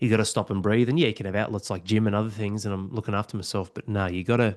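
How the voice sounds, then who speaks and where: Against a quiet background, a man with an Australian accent talks very fast at a fairly low pitch, his intonation fairly even. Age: 40s. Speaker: podcast host. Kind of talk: casual chat.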